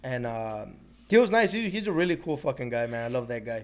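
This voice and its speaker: A man with an ordinary speaking voice at medium pitch is heard on a very clean recording with a silent background. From Chicago, north side (Mexican-American). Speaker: plumber. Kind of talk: casual chat. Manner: casual, profane.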